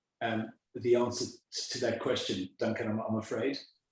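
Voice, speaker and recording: A man speaks with a South African accent. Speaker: school headmaster. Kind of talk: interview. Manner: halting, many repetitions.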